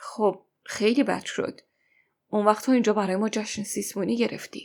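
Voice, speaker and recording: Putting on a raspy character voice, a woman speaks in a fairly high pitch with monotone, flat intonation. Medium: read story.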